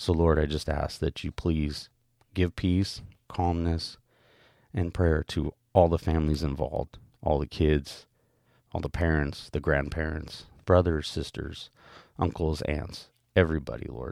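A man's very deep, low voice at a fairly slow pace, with fairly even intonation, long, frequent pauses, and a very clean recording over a silent background. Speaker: devotional podcaster. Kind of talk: devotional reading followed by fervent prayer. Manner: earnest, pleading, soft and halting; repetitive, stumbling over words.

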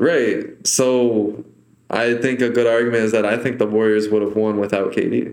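Audible room echo surrounds a man speaking at a medium pitch and moderate pace. His intonation is monotone and flat, his loudness very even. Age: 20s. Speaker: podcast host. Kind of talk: casual interview.

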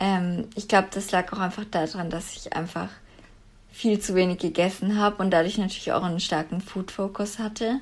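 At a moderate pace, a woman with a medium-pitched, plain, everyday voice talks in a fairly even intonation. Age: 20s. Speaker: former coaching client. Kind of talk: interview.

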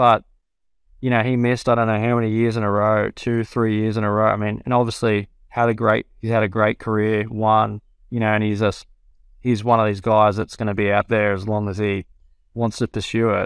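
Over a quiet background, a man with an Australian accent speaks fairly quickly in a fairly low, flat monotone, the sound dry and close with no echo. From New South Wales, Australia. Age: 30s. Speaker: professional golfer. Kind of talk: casual interview.

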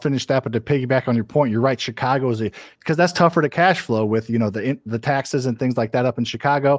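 Very fast and medium-pitched, a man talks with ordinary pitch variation in a dry, close sound with no echo. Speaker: real estate investor. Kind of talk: interview. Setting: video call. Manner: fast talker.

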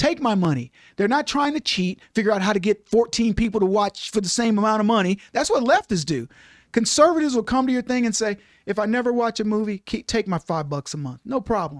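With an American accent, the speech comes at a fairly quick clip. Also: man, high pitch for a man, lively intonation, dry, close sound with no echo. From Texas. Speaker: radio host and author. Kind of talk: casual interview chat.

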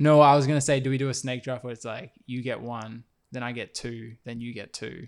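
A man with an Australian accent at a medium pitch, fairly quick pace, fairly even intonation and big swings in loudness. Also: very clean recording, silent background. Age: 20s. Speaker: podcast host and basketball player. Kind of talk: casual chat. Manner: halting.

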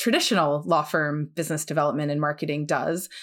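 A woman at a very fast pace, in a very clean recording over a silent background. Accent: New Jersey. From US, New Jersey. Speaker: law firm business development head, former litigator. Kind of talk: podcast interview.

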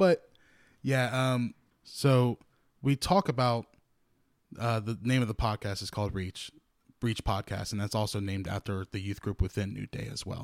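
Speaking in a Louisiana accent, a man uses medium pitch, ordinary pitch variation and a moderate pace with long, frequent pauses. The recording is very clean, the background silent. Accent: Southern US (Louisiana). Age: 20s. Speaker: podcast co-host, church youth singer. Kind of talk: casual chat. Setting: studio.

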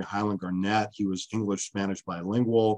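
Against a quiet background, a man with an American accent speaks at a very fast pace, his fairly low voice flat and monotone. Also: dry, close sound with no echo. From US West Coast, California East Bay. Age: 50s. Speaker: history professor. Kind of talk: interview.

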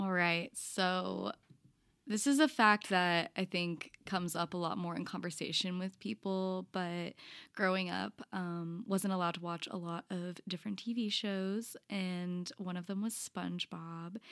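In a very clean recording with a silent background and a dry, close sound with no echo, a woman at medium pitch talks at a fairly slow pace with ordinary pitch variation, an ordinary speaking voice. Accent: American. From College Station, Texas. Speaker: spiritual director, seminary graduate. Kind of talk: interview-style podcast conversation.

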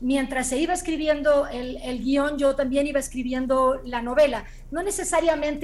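Speaking in a high pitch with ordinary pitch variation, a woman keeps to a moderate pace. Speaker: screenwriter and novelist. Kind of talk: interview.

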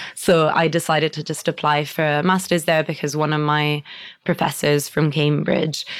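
A woman with an Italian accent speaks at a very deep, low pitch. Her intonation is monotone and flat, at a moderate pace. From Italy. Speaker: barrister. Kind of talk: interview.

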